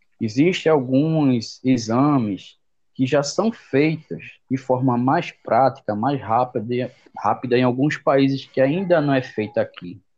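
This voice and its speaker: A man of medium pitch speaks at a very slow pace with ordinary pitch variation and very even loudness over a quiet background. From Brazil, Jaboatão, Pernambuco. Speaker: veterinarian. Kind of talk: interview. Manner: halting.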